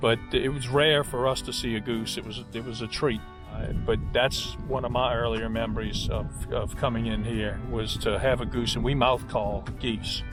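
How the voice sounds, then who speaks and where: Backed by music in the background, a man talks at a moderate pace. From South Louisiana. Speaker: duck hunter. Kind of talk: interview answer.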